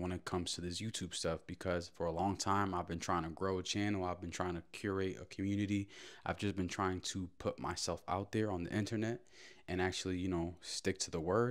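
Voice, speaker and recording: Over a quiet background, a man speaks with a very deep, low pitch. His pace is fairly quick and his intonation fairly even. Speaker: daily vlogger. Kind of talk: casual vlog chat. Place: kitchen. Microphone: handheld.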